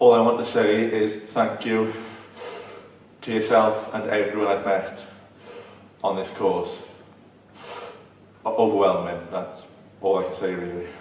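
A man with a Welsh accent speaks fairly slowly and in a fairly low, monotone, flat voice, leaving long, frequent pauses. Audible room echo and light background noise are present. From South Wales. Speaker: person who stutters. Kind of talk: interview answer. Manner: stuttering, blocking. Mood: emotional, grateful.

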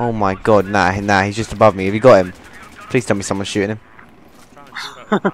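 Over noticeable background noise, a man talks at a moderate pace in a fairly low voice with monotone, flat intonation. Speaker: gamer. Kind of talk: casual gaming banter. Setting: online multiplayer game chat.

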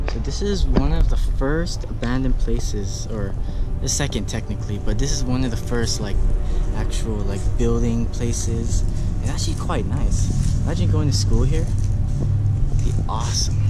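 Music plays in the background while a man speaks. His pace is moderate, broken by long, frequent pauses. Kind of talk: casual vlog chat. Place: open country. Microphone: phone near.

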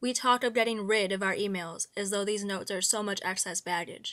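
A woman with an unremarkable speaking voice talks at a moderate pace and medium pitch. Her pitch varies in an ordinary way, and the recording is very clean with a silent background. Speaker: narrator reading aloud. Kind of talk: literary monologue reading, scripted essay narration. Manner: measured, formal, reflective.

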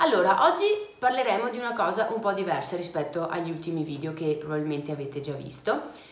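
Very fast and lively in intonation, a woman speaks at a fairly low pitch. Audible room echo surrounds her voice. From Vicenza, Veneto, Italy. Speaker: travel vlogger. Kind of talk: casual talk to camera. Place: home room.

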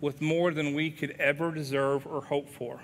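In an Appalachian accent, a man with a fairly high pitch and a bright, sharp tone talks at a fairly slow pace. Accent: Appalachian Southern US. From US South, southwest Virginia (Wise County); Virginia. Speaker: pastor; guest preacher. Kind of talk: sermon. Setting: church. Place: church.

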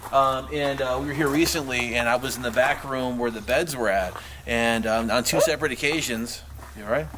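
Amid noticeable background noise, a man speaks at a fairly quick pace with ordinary pitch variation. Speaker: paranormal investigator. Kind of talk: casual chat. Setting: outdoors.

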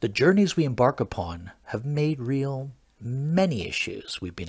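A man speaks at a moderate pace with a fairly high pitch, somewhat breathy, and very wide pitch swings. The recording is very clean, with a silent background. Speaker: comedian. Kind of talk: improvised comedic chat. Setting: live video stream. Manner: mock-formal announcer delivery.

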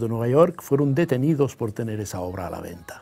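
A man speaks at a medium pitch with lively intonation. His tone is dark, mellow and somewhat breathy. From Catalonia, Spain. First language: Catalan (speaking Spanish). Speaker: novelist; guest. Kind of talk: interview. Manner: hesitant, many fillers. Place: studio. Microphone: lapel.

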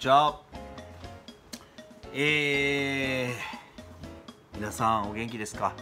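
In a Kumamoto accent, a man speaks at a very slow pace with ordinary pitch variation, big swings in loudness, and long, frequent pauses, while clear music plays in the background. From Kumamoto, Japan. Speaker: internet radio host. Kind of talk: casual talk to camera. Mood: mock angry, complaining. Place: office. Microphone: webcam.

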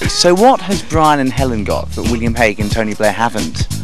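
A man speaks at a fairly quick pace with very wide pitch swings, his dry sound carrying no echo while clear music plays in the background. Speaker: television presenter. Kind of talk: TV presenter interview. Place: street. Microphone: handheld.

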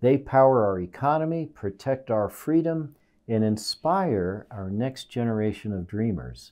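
A man speaks at a fairly slow pace with a dark, mellow tone and lively intonation against a quiet background. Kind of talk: prepared address to camera. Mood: earnest, inspirational. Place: office. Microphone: lapel.

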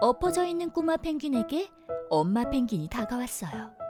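With music in the background, a woman speaks in a gentle tone at a very slow pace. Her pitch swings very widely. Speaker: voice actor. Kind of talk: children's story reading. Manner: gentle, storytelling.

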